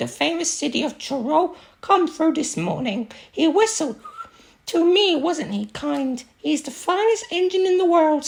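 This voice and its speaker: At a moderate pace, a woman does a put-on character voice with a high pitch. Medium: read story.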